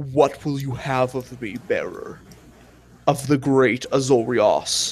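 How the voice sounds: In a put-on character voice, a man sounds guttural at medium pitch, moving at a fairly slow pace.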